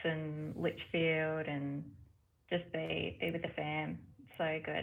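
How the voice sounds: A woman speaks slowly in a low pitch with vocal fry and little pitch movement.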